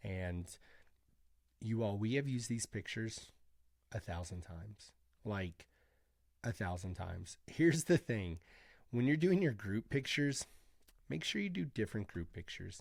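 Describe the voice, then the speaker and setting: In a very clean recording with a silent background, a man speaks somewhat breathily at a fairly low pitch with lively intonation and long, frequent pauses. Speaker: med spa owner and business coach. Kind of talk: screen-share tutorial. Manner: fast; casual, chatty.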